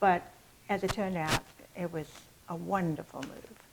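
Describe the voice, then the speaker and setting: A woman speaks with an American accent at a fairly low pitch. Her intonation is fairly even. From England. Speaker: estate sale business owner. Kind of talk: casual interview.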